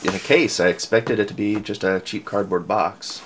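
Against light background noise, a man talks at a moderate pace with a fairly low pitch. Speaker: hobbyist reviewer. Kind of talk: casual unboxing commentary. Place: home room.

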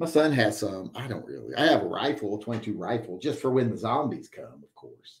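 With an American accent, a man talks at a fairly quick pace and hardly pauses. His loudness swings a lot against a quiet background. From West Virginia. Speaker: livestream host, military veteran; livestream host. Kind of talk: casual live-chat monologue. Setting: live stream. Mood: relaxed, opinionated. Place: home room.

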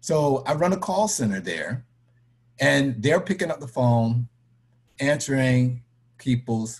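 Somewhat breathy and medium in pitch, a man with an American accent talks at a fairly slow pace with lively intonation. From Florida (Tampa/St. Petersburg), born New York City. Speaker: credit union board member; interviewee. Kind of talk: personal testimony in online discussion. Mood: earnest, serious. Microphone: webcam.

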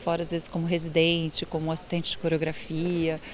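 Noticeable background noise fills the recording. Through it, a woman talks in a fairly low voice. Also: dry sound with no echo. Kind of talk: interview answer. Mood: warm, enthusiastic. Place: stage. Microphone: handheld.

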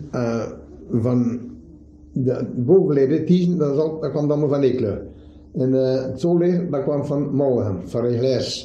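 Speaking very slowly with an East Flemish accent, a man keeps a medium pitch and ordinary pitch variation. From Adegem, East Flanders, Belgium. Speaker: shoemaker. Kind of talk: dialect interview answer.

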